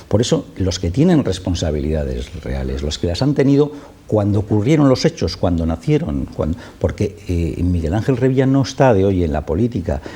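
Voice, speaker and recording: A man's very deep, low voice with very wide pitch swings, against noticeable background noise. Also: moderate pace. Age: 60s. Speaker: spokesman for affected homeowners' association. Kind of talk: TV interview. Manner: impassioned.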